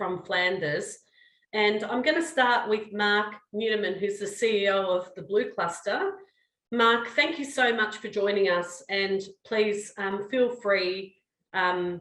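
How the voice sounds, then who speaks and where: Speaking very slowly in an Australian accent, a woman has a medium pitch and a bright, sharp tone. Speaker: research director and webinar moderator. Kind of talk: webinar moderation.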